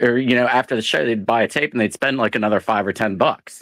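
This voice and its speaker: Here a man with a normal speaking voice and an American accent talks at a fairly quick pace and medium pitch. The sound is dry and close with no echo, very clean, with a silent background. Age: 50s. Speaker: caller in open mic hangout. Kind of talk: casual chat.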